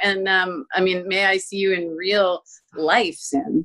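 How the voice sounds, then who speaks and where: Against a quiet background, a woman with a bright, sharp tone talks at a fairly slow pace. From Florida, US. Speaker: advocate for abuse survivors; interview guest. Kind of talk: interview. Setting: video call. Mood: earnest, warm. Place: home room. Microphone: video call.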